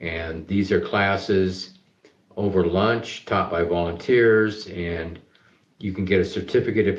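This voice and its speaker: Speaking at a moderate pace, a man with a very deep, low, somewhat breathy voice keeps his intonation fairly even. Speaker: charity business CEO and founder. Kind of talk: interview.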